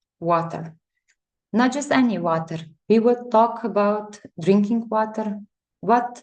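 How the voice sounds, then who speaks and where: At a fairly slow pace, a woman with a non-native accent talks at a medium pitch with ordinary pitch variation. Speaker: chemical engineer. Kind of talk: lecture. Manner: halting.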